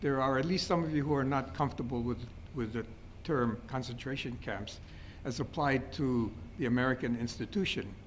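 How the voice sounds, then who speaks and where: There's audible room echo around a man's medium-pitched voice. He speaks at a moderate pace with ordinary pitch variation. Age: 70s. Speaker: history professor. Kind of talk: lecture. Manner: halting, many fillers and repetitions.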